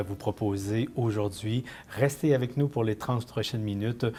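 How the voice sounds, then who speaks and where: A man speaks in an ordinary speaking voice. His pace is moderate. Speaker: interview show host. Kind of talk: TV interview hosting.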